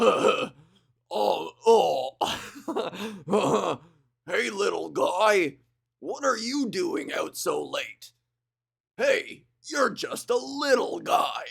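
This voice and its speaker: In a raspy put-on character voice, a man speaks at a very slow pace. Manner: goofy, gentle, jovial.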